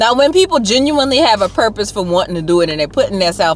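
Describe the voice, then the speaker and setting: A woman with an American accent speaks in an animated tone. Her intonation is lively, and there is noticeable background noise. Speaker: YouTuber. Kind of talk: casual chat. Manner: loud.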